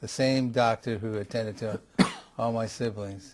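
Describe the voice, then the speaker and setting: A man with an American accent speaks at a moderate pace in a fairly low pitch. His intonation stays fairly even. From Los Angeles, California. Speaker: retired appellate judge. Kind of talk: oral history interview. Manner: halting.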